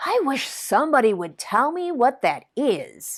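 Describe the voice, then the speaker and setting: A woman's put-on character voice, high in pitch, with very wide pitch swings. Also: moderate pace. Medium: read story.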